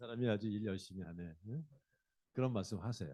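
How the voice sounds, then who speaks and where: A man speaks with a dark, mellow tone at a fairly low pitch. His pitch swings very widely as he talks at a fairly quick pace. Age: 60s. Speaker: company CEO and lecturer. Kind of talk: public lecture. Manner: conversational, addresses audience directly.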